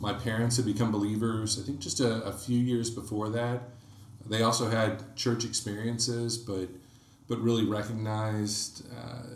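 Noticeable background noise and audible room echo accompany a man speaking at a moderate pace in a fairly low voice. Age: 30s. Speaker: electrical engineer and church small-group co-leader. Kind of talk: casual interview about faith.

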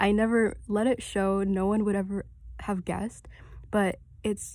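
Speaking at a fairly slow pace, a woman is heard on a very clean recording with a silent background. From Middle East (Kuwait, Saudi Arabia), moved to Canada. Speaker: podcast host. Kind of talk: casual solo talk on faith and self-confidence.

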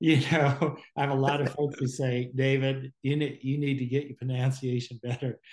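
A man's somewhat breathy, medium-pitched voice with an American accent, flat monotone intonation, a moderate pace and hardly any pauses. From Southern California. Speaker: guest speaker on faith. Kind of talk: casual conversation. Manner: halting, repeats words.

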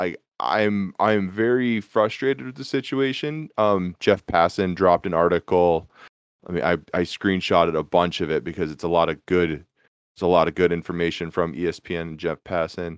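Someone speaks at a moderate pace with an American accent. The recording is very clean, with a silent background. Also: man, very deep, low pitch for a man, ordinary pitch variation, dry, close sound with no echo. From Minnesota. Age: 20s. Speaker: podcast host. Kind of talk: casual sports chat.

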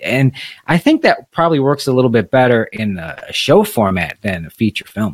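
A man's normal speaking voice at medium pitch, dry and close with no echo. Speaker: podcast host. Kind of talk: casual chat.

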